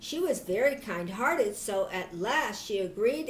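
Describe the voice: The clip is plain reading aloud.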